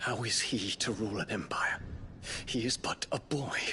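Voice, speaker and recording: A man puts on a character voice at a medium pitch, keeping a moderate pace and very even loudness. Background noise is clearly present. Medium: short film. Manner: earnest, formal.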